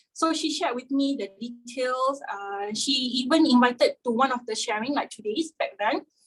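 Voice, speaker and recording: In an unremarkable speaking voice, a woman talks at a moderate pace with ordinary pitch variation. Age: young. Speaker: testimonial sharer. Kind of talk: testimony.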